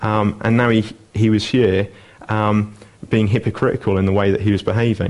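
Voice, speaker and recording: At a fairly quick pace, a man speaks in a monotone, flat intonation. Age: 20s. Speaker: lay preacher. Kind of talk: sermon. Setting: church.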